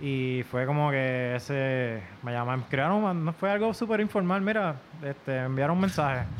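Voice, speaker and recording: Noticeable background noise sits behind a man speaking at a moderate pace with a fairly high pitch and lively intonation. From Puerto Rico (Isabela), born in Virginia. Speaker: musician, trombonist. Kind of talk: casual chat.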